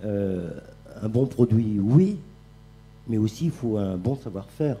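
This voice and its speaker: A somewhat breathy voice with a dark, mellow tone speaks at a very slow pace. Its pitch varies in an ordinary way. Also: man, fairly low pitch for a man. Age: 60s. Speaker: chef. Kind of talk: panel talk. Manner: halting.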